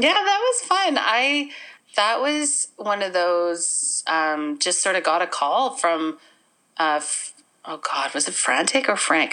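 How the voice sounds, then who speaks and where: With a Canadian Prairie accent, a woman speaks at a medium pitch in a bright, sharp tone. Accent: Canadian English (Prairies). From Manitoba, Canada. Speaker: actor, playwright and comedian. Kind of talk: casual interview. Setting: remote call from home.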